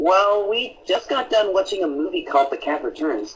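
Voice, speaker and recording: At a moderate pace, a cartoonish character voice speaks at a middle pitch. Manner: prim, precise.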